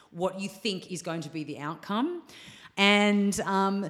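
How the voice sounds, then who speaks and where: This woman has an Australian accent. Her recording is very clean, the background silent. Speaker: yoga teacher. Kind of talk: casual chat.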